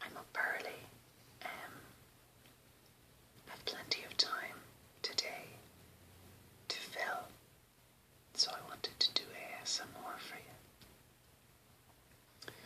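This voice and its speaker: Someone whispers at a fairly slow pace, with long, frequent pauses. Noticeable background noise runs underneath. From Ireland. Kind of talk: casual talk to camera. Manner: whispered.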